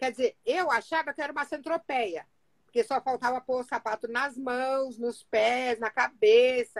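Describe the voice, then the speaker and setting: High-pitched woman at a fairly slow pace, ordinary pitch variation, dry, close sound with no echo. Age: 60s. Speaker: Bible study speaker. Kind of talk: Bible reflection. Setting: Instagram live from home office.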